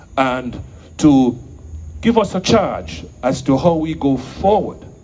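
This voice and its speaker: A man speaks at a medium pitch with vocal fry and very wide pitch swings. Audible room echo surrounds his voice. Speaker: event emcee. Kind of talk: stage introduction. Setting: stage with audience. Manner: formal.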